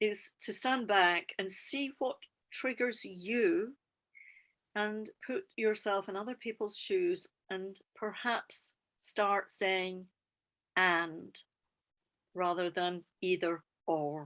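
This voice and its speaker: A woman at medium pitch in a Scottish accent, very slow pace, long, frequent pauses and ordinary pitch variation, against a quiet background. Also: dry, close sound with no echo. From Scotland. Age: 50s. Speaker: EFT practitioner and trainer. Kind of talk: podcast interview.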